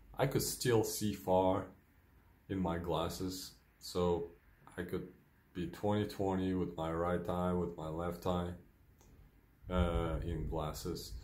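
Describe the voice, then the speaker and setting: A man with very deep, low pitch speaks at a very slow pace with long, frequent pauses. His intonation is fairly even, and the room echo is audible. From Ukraine. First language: Ukrainian or Russian. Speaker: vlogger with multiple sclerosis. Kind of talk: personal video diary. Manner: hesitant, many fillers.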